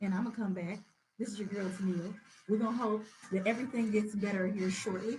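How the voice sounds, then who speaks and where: A woman with a Southern US accent speaks at medium pitch. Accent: southern drawl. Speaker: radio host. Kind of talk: live interview. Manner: animated.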